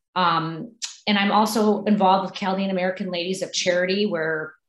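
Against a quiet background with audible room echo, a woman talks at a fairly quick pace with fairly even intonation. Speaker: candidate. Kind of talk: interview answer. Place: home room. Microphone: video call.

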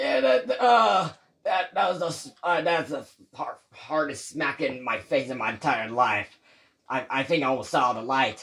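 Using a put-on character voice with a fairly high pitch, a man speaks at a fairly slow pace with long, frequent pauses. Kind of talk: comic overacting. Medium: machinima. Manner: panicky, shouting, overreactive.

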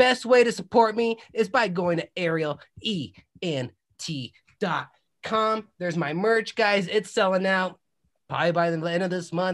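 A man with a high pitch, ordinary pitch variation, and an energetic, animated tone at a moderate pace. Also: quiet background. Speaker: podcast host and musician; podcast host. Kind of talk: casual podcast chat; self promotion. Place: home room. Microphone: video call.

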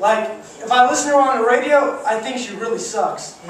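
With audible room echo and light background noise, a man speaks nervously in an extremely high voice, his intonation fairly even. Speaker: amateur stand-up comedian. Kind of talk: first-time stand-up set at a comedy club, crude one-liners and pop-culture riffs. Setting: comedy club stage with live audience. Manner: hyping the crowd with whoops and quick audience questions; slightly nervous, stumbling and repeating words mid-punchline. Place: stage.

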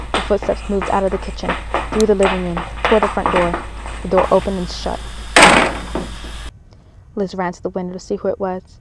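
Noticeable background noise accompanies a woman as she speaks at a fairly quick pace. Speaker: children's bookseller and horror story reciter. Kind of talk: scary story reading.

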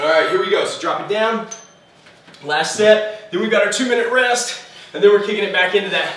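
A man with a high pitch at a fairly quick pace, ordinary pitch variation and long, frequent pauses, with audible room echo and light background noise. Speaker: fitness instructor. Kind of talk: guided home workout class, coaching through timed intervals. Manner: animated, loud, encouraging, barking cues and countdowns; out of breath, pushing through effort. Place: gym.

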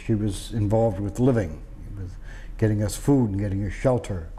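A moderate pace with an American accent. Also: man. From Boston, Massachusetts. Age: 50s. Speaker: war veteran. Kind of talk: oral history interview. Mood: reflective, matter-of-fact. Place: home room. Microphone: lapel.

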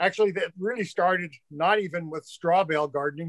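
A man talks at a fairly quick pace in a high pitch. The sound is dry with no echo, and the background is quiet. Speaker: remote guest. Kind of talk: interview answer. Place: home room. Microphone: webcam.

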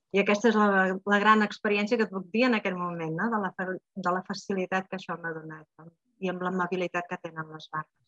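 A woman at medium pitch, very fast, with fairly even intonation, big swings in loudness, and a dry sound with no echo. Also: quiet background. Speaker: Access Bars facilitator. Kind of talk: online group talk. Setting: video call. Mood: warm, calm. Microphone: earbuds.

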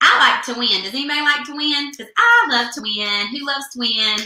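A raised, projected voice with an American accent carries lively intonation. Audible room echo surrounds it against a quiet background. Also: woman. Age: 20s. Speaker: beauty product consultant; beauty product consultant host. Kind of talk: live product demo. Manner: animated. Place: home room. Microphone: webcam.

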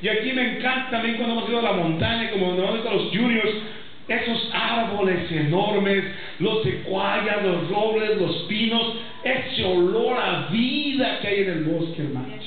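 A man with a Mexican accent at a moderate pace, ordinary pitch variation, strong room echo and light background noise. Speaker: pastor. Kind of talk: sermon. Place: church.

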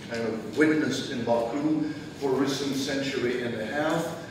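Amid noticeable background noise and strong room echo, a man speaks at a fairly slow pace. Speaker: guest lecturer. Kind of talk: lecture. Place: hall. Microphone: camera far.

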